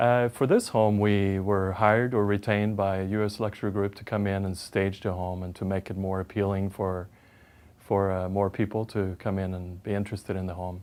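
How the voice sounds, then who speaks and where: A man speaks with a Swedish accent at a fairly low pitch. His intonation stays monotone and flat. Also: moderate pace. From Sweden. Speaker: home stager. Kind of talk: interview. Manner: hesitant, many fillers.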